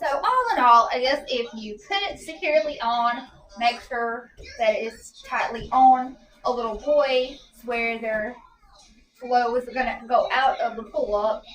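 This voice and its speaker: A high-pitched woman at a fairly slow pace, with ordinary pitch variation, big swings in loudness and music in the background. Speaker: parent product reviewer. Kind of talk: casual product review. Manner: soft-spoken.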